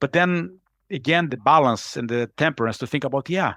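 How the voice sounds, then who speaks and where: A man at a fairly quick pace with ordinary pitch variation, in a dry, close sound with no echo. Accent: Brazilian Portuguese. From Brazil, Rio de Janeiro. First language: Portuguese. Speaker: executive coach. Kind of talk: podcast interview. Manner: fast; energetic.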